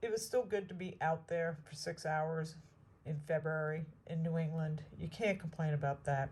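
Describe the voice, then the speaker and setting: Somewhat breathy and fairly low-pitched, a woman speaks fairly slowly with ordinary pitch variation. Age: 60s. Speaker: metal detecting vlogger. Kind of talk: casual outdoor vlog narration. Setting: outdoors in the woods.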